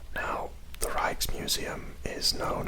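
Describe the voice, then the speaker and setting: Through noticeable background noise comes whispering at a very slow pace. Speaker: ASMR creator. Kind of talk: ASMR guided tour. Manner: whispered.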